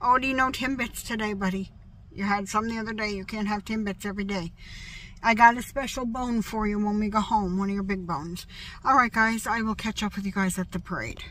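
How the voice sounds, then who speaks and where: A woman speaks with a bright, sharp tone and fairly even intonation. Light background noise sits underneath. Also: dry sound with no echo. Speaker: vlogger. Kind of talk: casual vlog chat. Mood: cheerful, chatty. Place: car. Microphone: phone near.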